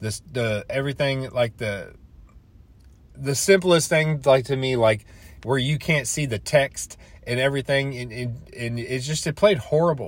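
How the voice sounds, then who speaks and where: Somewhat breathy, a man speaks fairly slowly at a medium pitch with ordinary pitch variation. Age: 30s. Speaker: gaming podcaster. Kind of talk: casual solo monologue. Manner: halting, many fillers and restarts.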